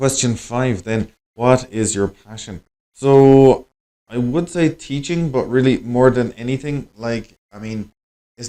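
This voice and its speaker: A man with an Irish accent, a dark, mellow tone, ordinary pitch variation and a fairly slow pace. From Ireland. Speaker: English teacher and language school director. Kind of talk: conversation practice monologue for learners. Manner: casual, conversational with many fillers.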